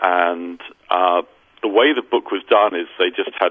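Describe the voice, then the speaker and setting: A man speaks with a British accent. His pace is fairly slow. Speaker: recording engineer. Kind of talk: interview.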